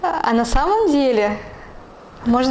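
The woman speaks with a high pitch. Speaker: vlogger. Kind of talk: vlog monologue. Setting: at home. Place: home room. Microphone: lapel.

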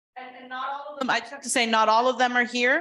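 A woman's bright, sharp tone over a quiet background. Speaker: trial lawyer, mock trial coach. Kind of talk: short speech at school board meeting. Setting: public board meeting with audience. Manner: loud.

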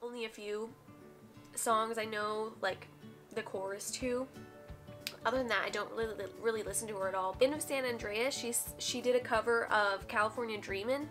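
With clear music in the background, a woman talks at a moderate pace. Her pitch is fairly high, and her intonation is fairly even. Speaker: youtuber. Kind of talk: casual reaction video talk to camera. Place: home room.

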